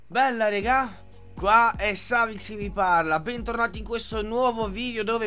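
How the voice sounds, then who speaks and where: Faint music sits in the background as the speech moves at a moderate pace. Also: man. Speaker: youtuber. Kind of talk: casual vlog chat. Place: home room. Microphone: studio mic.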